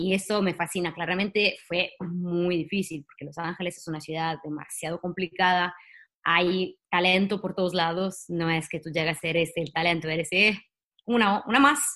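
Pitched fairly low, a woman speaks at a moderate pace with fairly even intonation, a bright, sharp tone and big swings in loudness. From Italy. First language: Italian (speaking Spanish). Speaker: singer-songwriter and actress. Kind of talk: interview. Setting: video call.

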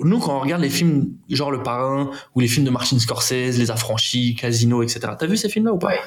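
A man's speech comes with audible room echo, along with noticeable background noise. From Paris suburbs, Aubervilliers (Seine-Saint-Denis). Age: 30s. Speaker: film producer. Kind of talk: casual interview.

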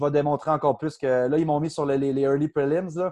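Against a quiet background, a man with a fairly high pitch talks at a moderate pace in a monotone, flat way. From Quebec, Outaouais (Gatineau). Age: 30s. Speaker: UFC fighter. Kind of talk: casual interview.

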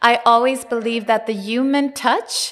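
This woman has a Swedish accent. She talks at a moderate pace. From Sweden. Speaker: tech entrepreneur. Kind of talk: interview.

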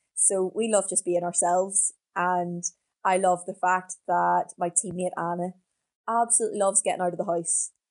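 Speaking in a Northern Irish accent, a woman keeps a medium pitch, flat monotone intonation and a moderate pace, with a quiet background and a dry, close sound free of echo. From Northern Ireland, County Down (Portaferry). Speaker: professional middle distance runner. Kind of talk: interview.

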